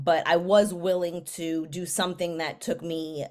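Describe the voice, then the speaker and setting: This woman, with an American accent and a medium pitch, talks at a fairly slow pace on a very clean recording with a silent background. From New York City, the Bronx. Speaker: mental health counselor. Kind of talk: casual chat.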